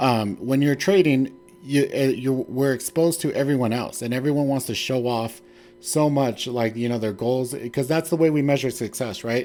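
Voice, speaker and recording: This man has a medium pitch and a dark, mellow tone. He talks at a moderate pace with ordinary pitch variation. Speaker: stock trading streamer. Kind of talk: casual livestream chat. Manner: filler-heavy, conversational.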